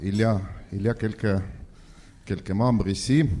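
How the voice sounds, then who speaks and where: Over a silent background in a very clean recording, a voice with a non-native accent speaks at a very slow pace in a dark, mellow tone. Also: man. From Estonia. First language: Estonian (speaking French). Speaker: ambassador. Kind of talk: speech at debate. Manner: halting, many hesitations.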